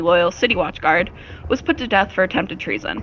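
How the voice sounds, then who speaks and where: A woman talks at a very fast pace with lively intonation. Noticeable background noise runs under her voice. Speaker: tabletop game master. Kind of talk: fantasy narration for tabletop roleplay. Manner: shaky, sounds close to crying when nervous.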